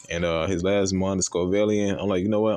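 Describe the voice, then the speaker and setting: A very fast-talking man with a fairly low pitch against a quiet background. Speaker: gaming video creator. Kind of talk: casual gameplay commentary. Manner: animated; halting, self-described stuttering today.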